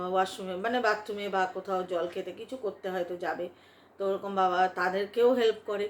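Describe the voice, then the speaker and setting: Using a normal speaking voice, a woman talks at medium pitch with fairly even intonation. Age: 40s. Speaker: online video creator and shopkeeper. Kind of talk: casual talk to camera.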